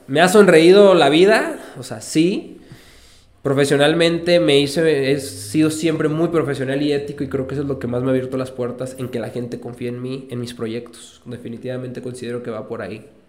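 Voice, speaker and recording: Amid audible room echo, a man talks at a fairly quick pace, his fairly high pitch carrying ordinary variation. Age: 30s. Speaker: entrepreneur. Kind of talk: casual interview chat. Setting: studio.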